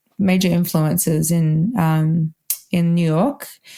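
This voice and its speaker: Her tone dark and mellow, a woman speaks somewhat breathily with fairly even intonation. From Australia, Melbourne. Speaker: wedding violinist. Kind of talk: podcast interview. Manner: casual, lots of fillers.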